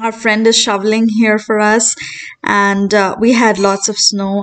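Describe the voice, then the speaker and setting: The background is quiet. The speech moves at a fairly slow pace. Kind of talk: tutorial. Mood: friendly, relaxed. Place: kitchen.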